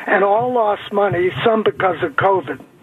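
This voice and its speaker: The man's pitch is high, with ordinary variation, at a fairly slow pace. Noticeable background noise sits behind him. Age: 70s. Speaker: caller. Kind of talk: radio call-in question. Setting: phone call.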